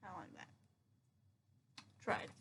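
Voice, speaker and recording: Raised and projected, a woman's voice carries a bright, sharp tone. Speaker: teacher. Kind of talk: recorded lesson for students. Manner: animated.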